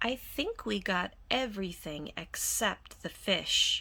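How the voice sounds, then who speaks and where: A woman puts on a character voice. She speaks at a fairly slow pace. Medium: read story. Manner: warm, easygoing.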